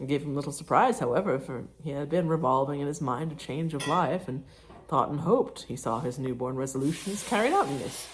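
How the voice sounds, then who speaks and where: A woman with a very deep, low pitch and ordinary pitch variation speaks against noticeable background noise. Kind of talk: audiobook reading. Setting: home, cooking sounds in background.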